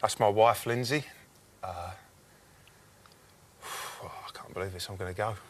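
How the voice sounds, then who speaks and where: With long, frequent pauses, a man speaks fairly slowly in a fairly low, somewhat breathy voice whose loudness swings a lot. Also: ordinary pitch variation. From England, Norwich. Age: 20s. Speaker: game show contestant. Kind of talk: casual chat. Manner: halting.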